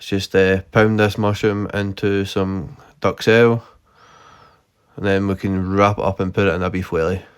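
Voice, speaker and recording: A man with a strong Scottish accent and a fairly low pitch speaks at a moderate pace in a monotone with flat intonation, on a very clean recording with a silent background. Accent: thick Scottish. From Scotland. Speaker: gaming YouTuber. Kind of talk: gameplay commentary. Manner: unscripted, hesitant.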